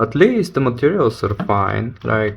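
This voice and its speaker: A man with a non-native accent speaks at a fairly slow pace, his voice showing vocal fry. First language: not English. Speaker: watch reviewer. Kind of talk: casual video review. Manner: halting.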